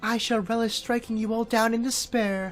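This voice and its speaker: Over clear music in the background, a female-sounding voice in a put-on character voice speaks at a moderate pace with a fairly high pitch and a monotone, flat intonation. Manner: menacing, gloating.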